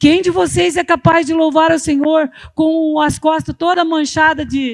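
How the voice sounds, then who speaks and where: An extremely high-pitched woman's voice at a fairly slow pace, in a very clean recording with a silent background. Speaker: pastor. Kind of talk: sermon. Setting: church. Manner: halting.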